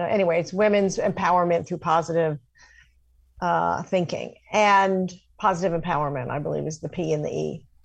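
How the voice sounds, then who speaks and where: Against a quiet background, someone speaks with an American accent in an ordinary speaking voice. The intonation stays fairly even. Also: woman. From New York City. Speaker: career coach and journalist. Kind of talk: radio interview.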